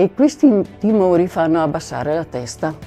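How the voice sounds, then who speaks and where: A woman talks at a fairly slow pace with lively intonation while music plays in the background. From Veneto, Italy. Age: 70s. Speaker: retired nurse. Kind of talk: testimonial talk to camera.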